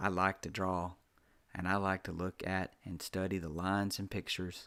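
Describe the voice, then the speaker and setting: A man's very deep, low voice in a Southern US accent, bright and sharp in tone with monotone, flat intonation, in a very clean recording with a silent background. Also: fairly quick pace. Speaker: author reading own story. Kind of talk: reading aloud.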